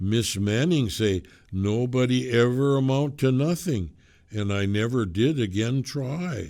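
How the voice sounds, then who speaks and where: Putting on a character voice, a man speaks at a fairly slow pace with a medium pitch and lively intonation. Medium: read story. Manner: preaching, grandiose.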